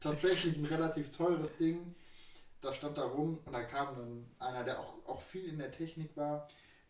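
Over audible room echo, a man with a fairly high pitch speaks at a fairly slow pace with fairly even intonation. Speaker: podcast guest. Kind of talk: casual chat.

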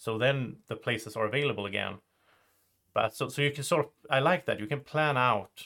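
A man speaks with a Swedish accent at a medium pitch. His tone is bright and sharp, and his pace fairly quick. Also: ordinary pitch variation. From Sweden. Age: 30s. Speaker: board game youtuber and podcast host. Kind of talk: casual chat.

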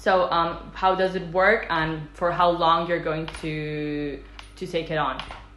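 A woman speaks very slowly in a fairly low pitch with monotone, flat intonation. Audible room echo and noticeable background noise accompany her. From Italy. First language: Italian. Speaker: interviewer. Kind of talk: interview. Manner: halting.

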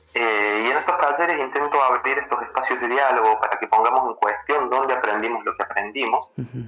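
A man's medium-pitched voice at a fairly quick pace with hardly any pauses, over noticeable background noise. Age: 30s. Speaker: workshop facilitator on masculinities. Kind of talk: interview. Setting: phone call.

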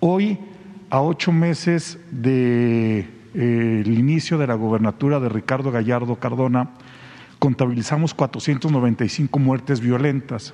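Very slowly, the man talks with ordinary pitch variation. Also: medium pitch for a man. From Mexico, San Luis Potosí. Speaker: journalist. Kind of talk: press conference question.

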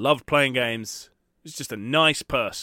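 A man's medium-pitched, bright, sharp voice at a fairly slow pace, with ordinary pitch variation and a very clean recording against a silent background. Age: 30s. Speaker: retro gaming YouTuber and podcast host. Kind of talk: solo podcast monologue. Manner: casual, sweary.

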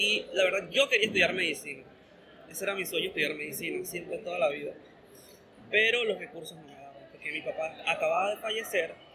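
A man at a very fast pace with big swings in loudness, over noticeable background noise. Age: 20s. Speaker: university student and cinema worker. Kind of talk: interview.

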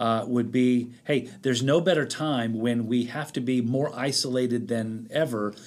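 At a moderate pace, a man uses a normal speaking voice of medium pitch with fairly even intonation. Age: 50s. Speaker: pastor. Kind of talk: interview.

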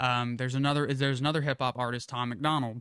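A man's ordinary speaking voice at a medium pitch, with fairly even intonation. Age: 20s. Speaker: podcast host and aircraft mechanic. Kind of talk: casual chat.

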